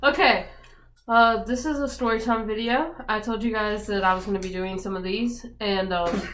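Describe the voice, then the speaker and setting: A woman's speech comes through with audible room echo and noticeable background noise. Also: fairly high pitch for a woman, ordinary pitch variation, moderate pace. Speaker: vlogger. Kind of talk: casual chat. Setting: indoors with friends. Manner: hesitant, many fillers.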